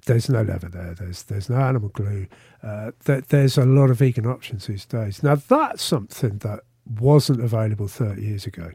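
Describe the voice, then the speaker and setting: A man talks at a fairly quick pace, somewhat breathy. His loudness swings a lot. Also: medium pitch for a man, ordinary pitch variation. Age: 50s. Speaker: vegan festival founder. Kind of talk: interview. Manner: halting, repeats words.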